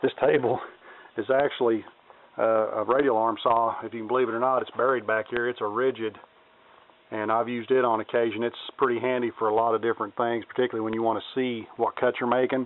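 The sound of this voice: Fast and with little pitch movement, a man talks at a medium pitch.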